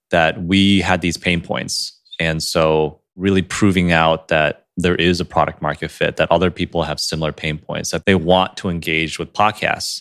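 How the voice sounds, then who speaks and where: A man's very deep, low voice with monotone, flat intonation at a moderate pace with hardly any pauses, dry and close with no echo, on a very clean recording with a silent background. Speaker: podcast co-host. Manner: stumbles over words, sometimes slurs or mispronounces.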